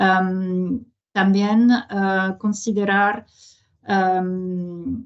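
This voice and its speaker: In a French accent, a woman speaks at a medium pitch. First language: French (speaking Spanish). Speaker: international organization presenter. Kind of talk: webinar presentation. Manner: halting, many fillers.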